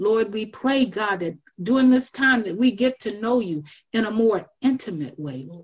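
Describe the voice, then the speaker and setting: A woman talks at a moderate pace with a fairly high, somewhat breathy voice and lively intonation. Her loudness swings widely against a quiet background. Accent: American. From US South, South Carolina. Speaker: minister and Sunday school teacher. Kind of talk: personal testimony and devotional encouragement. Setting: phone prayer line. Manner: measured, earnest and reflective. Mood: reverent, earnest. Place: home room. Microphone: video call.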